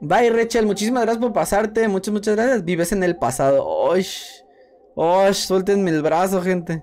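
A man speaks in a high voice with an animated tone and very even loudness over noticeable background noise. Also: ordinary pitch variation, moderate pace. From Mexico, Coatzacoalcos (Veracruz). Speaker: gaming streamer. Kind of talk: live stream commentary.

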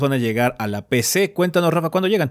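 A man speaks at a fairly quick pace in a Mexican accent. The background is quiet. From Mexico. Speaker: gaming podcast host. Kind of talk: casual chat. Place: home room. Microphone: studio mic.

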